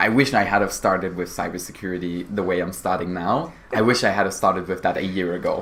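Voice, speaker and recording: A man's very deep, low voice at a very fast pace with hardly any pauses and fairly even intonation, amid audible room echo and noticeable background noise. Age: young. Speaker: cybersecurity apprentice. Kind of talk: interview.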